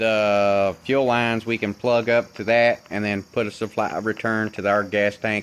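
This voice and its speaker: With an Appalachian accent, a man talks at medium pitch. His intonation is monotone and flat. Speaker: DIY car mechanic vlogger. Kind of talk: casual workshop vlog. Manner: hesitant, many filler words.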